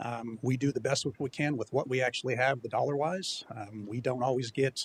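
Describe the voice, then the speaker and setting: Medium-pitched male voice, somewhat breathy, with fairly even intonation and a dry, close sound with no echo. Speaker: city IT director. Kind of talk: budget presentation. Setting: city hall chambers. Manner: fast.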